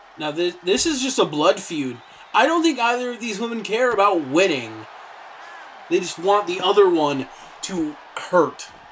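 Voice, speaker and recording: Against noticeable background noise, a high-pitched man speaks at a moderate pace with very wide pitch swings and long, frequent pauses. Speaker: wrestling commentator. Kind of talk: live commentary.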